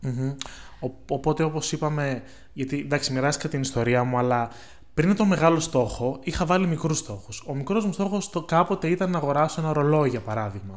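This man talks fairly quickly in an unremarkable speaking voice. His pitch sits fairly high, and his intonation is lively. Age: 20s. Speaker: podcast co-host. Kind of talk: casual chat.

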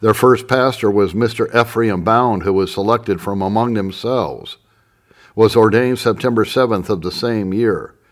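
A man speaks in a normal speaking voice at medium pitch and a moderate pace, with fairly even intonation. The recording is very clean, with a silent background. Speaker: audiobook narrator. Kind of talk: literary audiobook reading of historical text. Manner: formal, measured, solemn narration; steady, even-paced reading.

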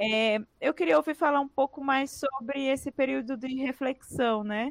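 A woman's fairly slow delivery in a plain, everyday voice, with ordinary pitch variation, a quiet background, and a dry, close sound with no echo. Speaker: podcast host. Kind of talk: interview.

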